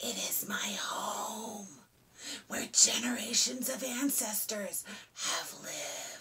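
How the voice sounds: In a put-on character voice, a woman whispers with a hissing sound.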